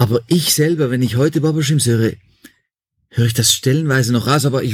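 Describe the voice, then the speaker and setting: The man's voice is somewhat breathy, with medium pitch. He talks at a fairly quick pace with fairly even intonation. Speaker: musician. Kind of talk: interview. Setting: remote call.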